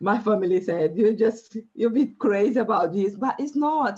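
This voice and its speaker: A woman talks with a Brazilian Portuguese accent. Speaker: life coach. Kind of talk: interview. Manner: halting.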